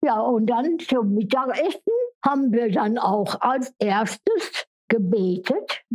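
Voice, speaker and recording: Her pitch is high, and her intonation is lively. The woman keeps a very even loudness at a very slow pace. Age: 90s. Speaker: care home resident. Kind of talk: life story interview.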